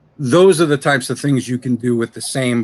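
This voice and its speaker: A medium-pitched man with an American accent and ordinary pitch variation. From New York. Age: 30s. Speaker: voice actor. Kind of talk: interview. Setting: live stream.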